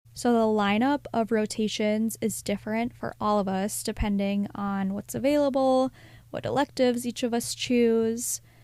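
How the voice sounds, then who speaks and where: With an unremarkable speaking voice, a woman talks at a moderate pace in a fairly high pitch, her intonation fairly even. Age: 20s. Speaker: podcast host and physician assistant student. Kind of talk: casual solo podcast talk.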